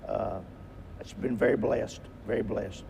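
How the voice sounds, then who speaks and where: The man's fairly slow speech carries audible room echo. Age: 70s. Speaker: basketball head coach. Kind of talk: interview. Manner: halting.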